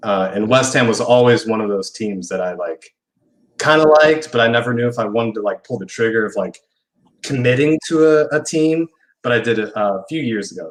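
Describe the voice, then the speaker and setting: With an American accent, a man talks at a moderate pace with ordinary pitch variation. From Indiana, US Midwest. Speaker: football fan guest. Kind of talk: casual interview chat. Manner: hesitant, many fillers.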